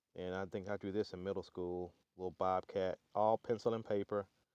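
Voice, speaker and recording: In a Southern US accent, a man talks at a fairly low pitch. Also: dry, close sound with no echo. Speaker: artist and channel owner. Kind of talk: casual website walkthrough. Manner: halting, many fillers.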